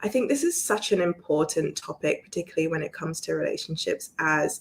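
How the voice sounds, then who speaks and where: At a moderate pace, a woman talks in a British accent. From London, England. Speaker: relationship coach. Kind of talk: online presentation. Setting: live video stream.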